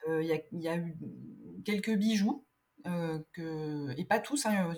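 Somewhat breathy delivery with ordinary pitch variation. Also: woman. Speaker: illustrator. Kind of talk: casual interview chat. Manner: hesitant, many fillers.

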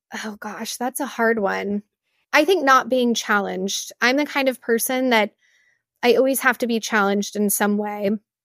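A woman with an American accent and an ordinary speaking voice talks at a moderate pace with a fairly high pitch and ordinary pitch variation, the recording very clean, dry and close, with a silent background and no echo. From West Texas (Midland). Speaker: beverage brand founder. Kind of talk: interview.

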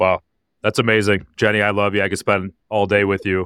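An enthusiastic man with an American accent at a moderate pace, dry close sound with no echo, very clean recording over a silent background. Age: 40s. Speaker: podcast host. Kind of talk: interview.

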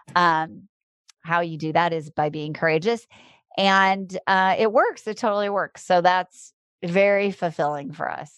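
Slow-ish and fairly low, a woman with a normal speaking voice talks with ordinary pitch variation. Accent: American. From US Midwest, Iowa. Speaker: dating coach. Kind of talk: interview.

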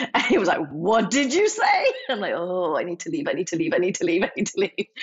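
At a moderate tempo, a woman is talking. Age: 40s. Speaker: interview guest. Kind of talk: personal interview.

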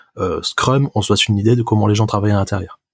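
The sound is dry and close with no echo as a man speaks at a medium pitch with fairly even intonation. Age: 20s. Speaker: software developer. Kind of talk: casual chat. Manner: halting.

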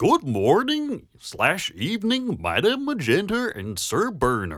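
This man uses a put-on character voice pitched high. He speaks at a fairly slow pace. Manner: goofy, silly.

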